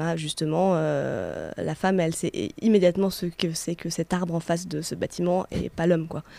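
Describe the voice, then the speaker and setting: A woman at a fairly low pitch speaks at a moderate pace in a dark, mellow tone, on a very clean recording with a silent background. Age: 30s. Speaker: radio co-host. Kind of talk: casual chat. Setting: studio.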